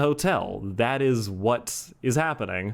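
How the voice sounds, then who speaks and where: A man mumbles with lively intonation. The recording is very clean, with a silent background. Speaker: YouTube reviewer. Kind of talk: casual video review. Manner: mumbling; chatty.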